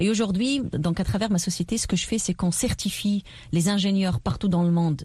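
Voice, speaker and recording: A woman with a medium pitch has a dark, mellow, somewhat breathy tone. She moves at a fairly quick pace with ordinary pitch variation. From southern Tunisia. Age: 30s. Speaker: politician and entrepreneur. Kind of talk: radio interview.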